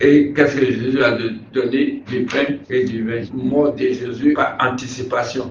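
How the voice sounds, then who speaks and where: A man talks at a fairly slow pace and medium pitch, with monotone, flat intonation. Noticeable background noise and audible room echo fill the recording. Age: 70s. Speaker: pastor. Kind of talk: sermon-style advice in an interview. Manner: halting, repeats words.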